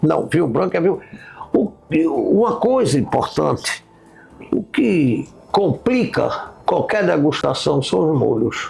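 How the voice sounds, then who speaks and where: A man speaks at a very slow pace, with long, frequent pauses and very even loudness. Noticeable background noise runs underneath. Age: 70s. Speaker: wine expert host. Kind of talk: casual chat.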